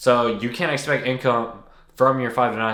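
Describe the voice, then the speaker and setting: A man talks with a bright, sharp tone. Audible room echo surrounds his voice. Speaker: content creator. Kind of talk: casual talking-head video. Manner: unedited, halting with restarts.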